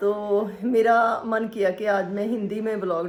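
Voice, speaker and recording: Medium pitch in a female voice. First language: Punjabi (speaking Hindi). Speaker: vlogger. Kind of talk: casual vlog talk. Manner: halting, with many fillers.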